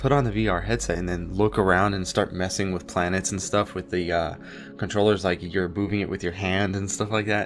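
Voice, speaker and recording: Over music in the background, a man with a very deep, low pitch and ordinary pitch variation talks at a fairly quick pace. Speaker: gaming youtuber. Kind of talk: gameplay commentary. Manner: rambling with many fillers.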